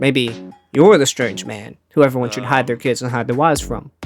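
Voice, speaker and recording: The speaking pace is moderate. Background music can be heard. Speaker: gaming video narrator. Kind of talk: comedic gaming commentary narration.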